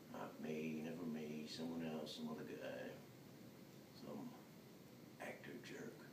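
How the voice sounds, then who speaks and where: With noticeable background noise behind him, a man talks at a very slow pace. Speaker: actor performing a monologue. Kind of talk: dramatic monologue. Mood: resentful, agitated. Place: hall. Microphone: camera far.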